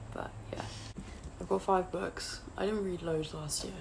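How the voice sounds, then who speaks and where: A woman talks with noticeable background noise and audible room echo. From England, outside London. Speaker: booktuber. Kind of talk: casual vlog chat. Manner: hesitant, with fillers.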